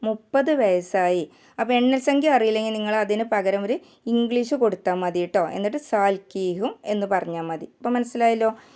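A woman's dark, mellow voice, fairly high in pitch, with ordinary pitch variation. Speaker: language teacher. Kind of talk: tutorial.

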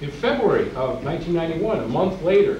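A man speaks over light background noise. The room echo is audible. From Brooklyn, New York. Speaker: poet. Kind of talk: poetry reading to a live audience, between chatty introductions. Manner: intense, rhythmic, declamatory delivery of dense imagery; wry, humorous between poems. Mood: earnest, politically charged. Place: hall. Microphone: podium.

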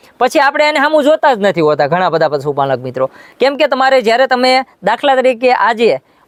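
A man speaks at an extremely high pitch, with very wide swings in his pitch. His loudness stays very even, and the sound is dry and close with no echo. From Gujarat, Botad district (Saurashtra). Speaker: artificial insemination technician. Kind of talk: tutorial.

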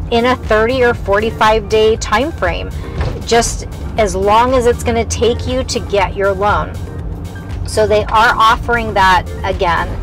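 A very slow delivery, dry with no echo, over clear background music. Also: woman. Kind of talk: casual tour commentary. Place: car.

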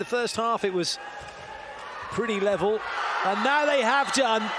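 Over noticeable background noise, a man speaks at an extremely high pitch with ordinary pitch variation. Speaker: handball commentator. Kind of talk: live sports commentary on a handball match. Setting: commentary over a match broadcast. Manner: fluent, explanatory play-by-play mixed with rule explanations.

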